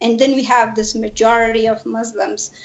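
Against noticeable background noise, a woman speaks at a fairly high pitch and a fairly slow pace, with fairly even intonation. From Afghanistan. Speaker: refugee activist. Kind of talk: interview. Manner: halting.

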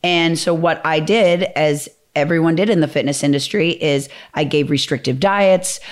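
A woman with an American accent uses a normal speaking voice at a moderate pace, her pitch fairly low with ordinary variation and her loudness very even. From Minnesota, US Midwest. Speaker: fitness trainer and program founder. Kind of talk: casual interview chat.

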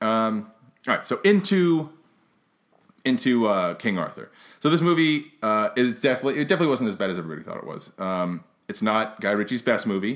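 Recorded very cleanly against a silent background, a man speaks at a fairly quick pace in a medium voice that swings very widely in pitch. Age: 30s. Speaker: podcast host, movie reviewer. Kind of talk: casual movie review chat. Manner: halting, many fillers and restarts.

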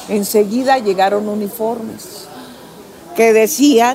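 Against noticeable background noise, a woman with a fairly high pitch speaks at a very slow pace, using ordinary pitch variation. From Mexico City. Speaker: retired footballer. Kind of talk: interview. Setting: cafe.

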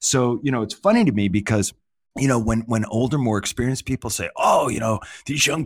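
A man with an American accent speaks in a normal speaking voice at a medium pitch, with lively intonation and a fairly quick pace. The recording is very clean with a silent background, and the sound is dry and close with no echo. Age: 50s. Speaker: management consultant and author. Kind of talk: interview.

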